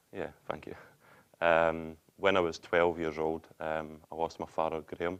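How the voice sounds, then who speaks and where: Speaking fairly slowly in a Scottish accent, this man has a very deep, low voice and a flat, monotone delivery. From Scotland, Denny near Glasgow. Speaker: interview guest sharing hardship story. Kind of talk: interview testimony.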